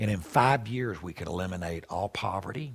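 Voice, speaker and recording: With a Southern US accent, a man speaks at a moderate pace with a very deep, low pitch, lively intonation and a somewhat breathy voice. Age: 60s. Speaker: pastor. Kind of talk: conference talk. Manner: conversational, with many fillers.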